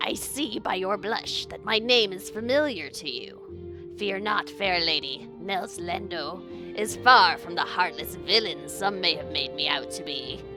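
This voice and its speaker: With clear music in the background, a woman does a put-on character voice at a fairly slow pace. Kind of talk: flowery, gallant, archaic. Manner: charming, gracious.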